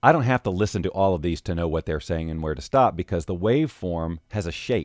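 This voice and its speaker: A man's voice with very wide pitch swings, dry and free of echo. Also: quiet background. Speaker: voiceover artist; audio editing instructor. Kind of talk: tutorial. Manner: casual.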